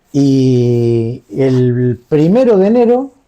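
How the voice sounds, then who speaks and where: The man's tone is dark and mellow. His pitch is fairly high. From Argentina, Pergamino, Buenos Aires province. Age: 60s. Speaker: war veteran. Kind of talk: interview testimony.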